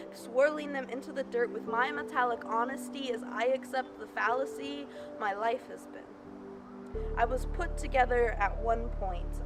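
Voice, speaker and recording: Over music in the background, a woman speaks at a moderate pace with big swings in loudness. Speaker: spoken word poet. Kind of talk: slam poetry performance. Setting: outdoors.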